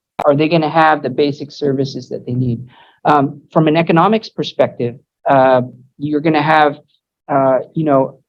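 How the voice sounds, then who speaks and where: An American accent at a moderate pace. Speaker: migration agency official. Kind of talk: lecture. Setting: university lecture hall. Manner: halting, many repetitions.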